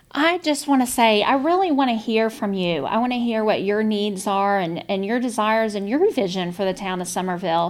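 A woman with a South Carolina accent, fairly high in pitch, with lively intonation, a fairly quick pace, hardly any pauses and a very clean recording with a silent background. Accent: Southern US (South Carolina). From South Carolina, Lowcountry. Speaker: town councilwoman, real estate developer. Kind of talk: interview.

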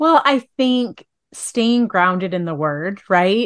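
A woman's medium-pitched voice, an unremarkable speaking voice, with lively intonation, a fairly slow pace, and a quiet background. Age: 40s. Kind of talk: interview podcast, faith-based.

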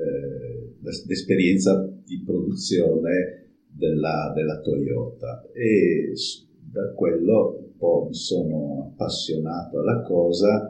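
A man talks very slowly, and the room gives back an audible echo. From Friuli, northeastern Italy. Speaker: cooperative president, engineer. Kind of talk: interview, personal account. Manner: halting, with fillers.

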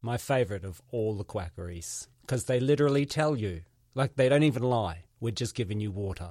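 A New Zealand accent from a man at medium pitch, with a dark, mellow tone, a fairly quick pace and lively intonation, on a very clean recording with a silent background. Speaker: podcast host, comedian. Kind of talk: casual interview.

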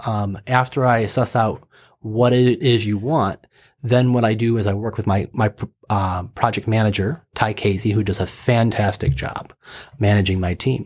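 The recording is very clean, with a silent background. The speech has a moderate pace and ordinary pitch variation. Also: man, fairly low pitch for a man. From Michigan, US. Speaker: animation studio founder. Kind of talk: interview.

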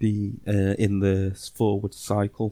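Recorded very cleanly against a silent background, a man's fairly low voice has a dark, mellow tone and a dry, close sound with no echo. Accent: English. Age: 30s. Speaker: football podcast co-host. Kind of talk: casual chat.

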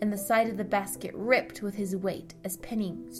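The intonation is fairly even in this unforced reading voice.

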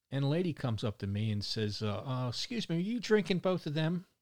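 With a Baltimore accent, a man talks at a moderate pace with very wide pitch swings on a very clean recording with a silent background. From Baltimore, Maryland. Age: 60s. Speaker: podcast host and volunteer trash picker. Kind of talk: casual chat, solo monologue. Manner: rambling, casual, humorous.

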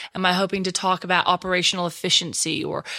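A woman with a strong Texan accent and a bright, sharp tone. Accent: Texan, still strong. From Texas. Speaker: social media trainer and speaker. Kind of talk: interview, expert talk.

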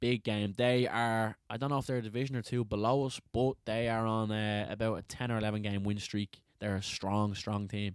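A man's fairly low voice with a Dublin accent, monotone and flat, at a moderate pace with very even loudness. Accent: Dublin Irish. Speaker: podcast host, amateur football team player. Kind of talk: casual banter. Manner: silly, joking.

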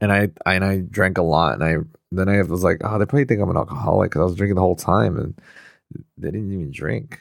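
This man talks at a very fast pace in a very deep, low pitch, with vocal fry and lively intonation. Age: 30s. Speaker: podcast co-host. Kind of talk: casual chat. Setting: video call.

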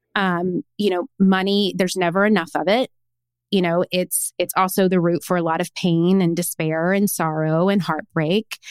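In a dry, close recording with no echo and a very clean, silent background, a woman with a Tennessee accent speaks at a moderate pace with a fairly low pitch and fairly even intonation. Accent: Southern US (Tennessee). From small-town Tennessee. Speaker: personal branding coach and author. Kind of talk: podcast interview.

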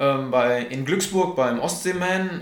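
Audible room echo and noticeable background noise accompany a man's voice. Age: 20s. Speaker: triathlete. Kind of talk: interview.

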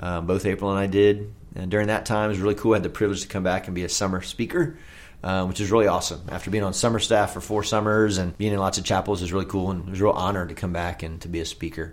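Very fast delivery from a man with an American accent, fairly low pitch and fairly even intonation. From Oklahoma, US. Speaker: camp executive director. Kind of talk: casual interview, sharing personal testimony.

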